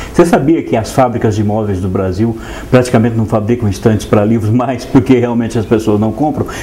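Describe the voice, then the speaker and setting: Over noticeable background noise, a man talks at a fairly quick pace, his medium pitch moving with ordinary variation. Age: 60s. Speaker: writer, translator and painter. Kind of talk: TV interview.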